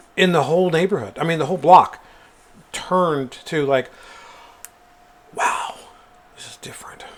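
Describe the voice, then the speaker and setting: A man with a high pitch speaks at a moderate pace, with ordinary pitch variation and big swings in loudness. Long, frequent pauses break up his speech over noticeable background noise. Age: 50s. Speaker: podcast co-host. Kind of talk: casual chat.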